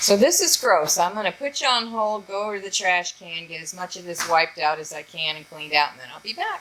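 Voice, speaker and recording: Over noticeable background noise, a woman with a medium-pitched voice races at a very fast pace with hardly any pauses, lively intonation and big swings in loudness. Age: 60s. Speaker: homesteading youtuber. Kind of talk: tutorial. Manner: casual, halting.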